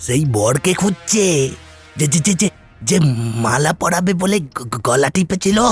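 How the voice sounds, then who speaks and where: A cartoonish character voice at a middle pitch moves at a moderate pace over faint background music. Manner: stuttering, frantic.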